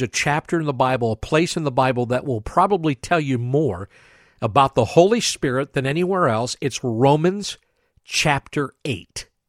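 At a moderate pace, a man with an American accent and a fairly high pitch is heard in a dry, close sound with no echo. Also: very clean recording, silent background. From western Pennsylvania, US. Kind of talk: religious teaching monologue.

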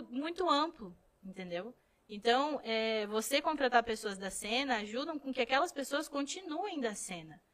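Her pitch ranging in very wide swings, a woman talks at a fairly slow pace. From Rio Grande do Sul, São Borja (western border). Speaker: photographer. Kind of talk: casual chat.

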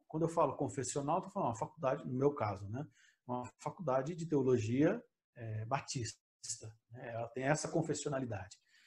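Somewhat breathy, this man talks fairly quickly at a medium pitch with ordinary pitch variation. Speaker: theologian and author. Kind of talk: interview conversation. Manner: calm, relaxed; hesitant, many fillers.

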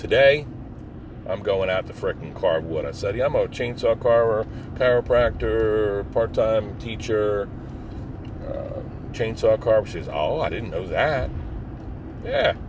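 In an American accent, a man talks in a relaxed tone at a fairly slow pace. Long, frequent pauses break his speech, with noticeable background noise behind him. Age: 40s. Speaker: podcaster. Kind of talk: casual solo monologue. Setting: in a car. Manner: relaxed, conversational.

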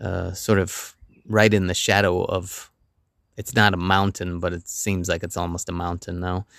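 A man's very deep, low voice at a fairly slow pace, monotone and flat, in a very clean recording with a silent background. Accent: American. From United States. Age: middle-aged. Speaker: podcast host. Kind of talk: casual chat. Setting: outdoors on a terrace. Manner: halting, many fillers.

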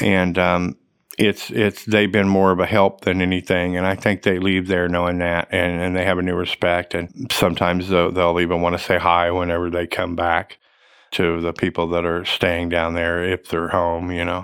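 A man with a very deep, low pitch speaks in an American accent. His intonation is monotone and flat at a moderate pace. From Oklahoma, US. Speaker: homeless outreach worker. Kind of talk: interview. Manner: halting, many fillers.

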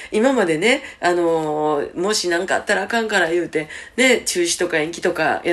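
The speaker has a Kansai accent and lively intonation. The pace is fairly quick. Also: woman. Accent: Kansai Japanese. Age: 50s. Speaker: radio host. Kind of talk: personal announcement.

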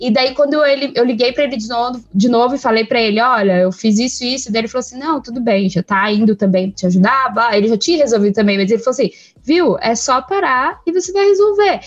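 Speaking at a very fast pace with hardly any pauses, a woman uses a high pitch and lively intonation. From São Paulo, east zone. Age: 30s. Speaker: company coordinator. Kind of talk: interview.

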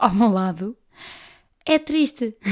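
A woman speaks at a fairly slow pace with a European Portuguese accent and a fairly high pitch. Her intonation is lively and her tone animated. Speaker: podcast host. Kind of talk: casual monologue.

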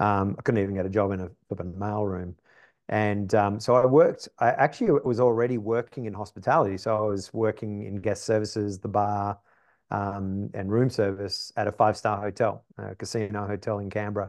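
Against a quiet background, a man talks in a fairly low voice. His intonation is fairly even. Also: fairly quick pace. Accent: Australian. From Australia, east coast industrial city. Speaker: business coach. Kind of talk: casual interview. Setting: studio.

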